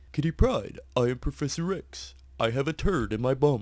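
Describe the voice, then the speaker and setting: Putting on a strained character voice, a man speaks at a fairly high pitch and a moderate pace. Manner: strained, constipated.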